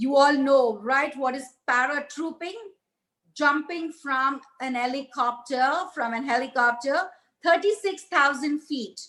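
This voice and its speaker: Her voice is bright and sharp, a woman speaking at a high pitch. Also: ordinary pitch variation, fairly slow pace. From India, Hyderabad. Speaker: satellite entrepreneur, motivational speaker. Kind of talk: motivational talk. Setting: virtual ceremony, recorded remotely. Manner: loud; animated.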